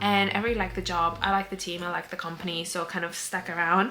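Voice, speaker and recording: A woman's voice carries audible room echo, with music in the background. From Cyprus. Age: 20s. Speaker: vlogger and weightlifter. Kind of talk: casual vlog talk to camera. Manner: chatty, filler-heavy.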